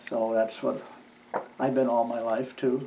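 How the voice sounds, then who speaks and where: A man talks in a monotone, flat intonation with a Midwestern US accent. Room echo is audible. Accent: rural Midwestern American. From US Midwest (eastern Iowa, rural). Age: 70s. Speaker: farmer. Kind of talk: oral history interview. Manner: halting, with frequent fillers.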